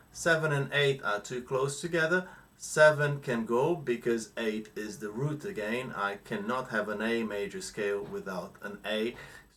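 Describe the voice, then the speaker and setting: Lively intonation marks this man's ordinary speaking voice. His pitch is medium and his pace fairly slow. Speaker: guitar teacher. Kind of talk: tutorial.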